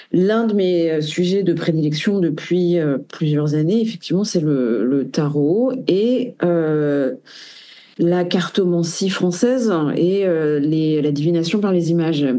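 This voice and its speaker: A woman speaks very slowly in a dark, mellow, fairly low voice, her loudness very even throughout. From France. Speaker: tarot reader and researcher. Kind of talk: interview. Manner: halting, many hesitations.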